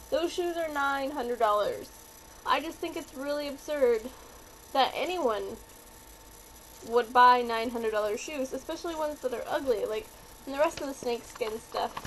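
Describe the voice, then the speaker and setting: Over noticeable background noise, a woman with a high pitch and lively intonation talks at a moderate pace, pausing long and often. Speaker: vlogger. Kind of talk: casual vlog review. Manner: animated.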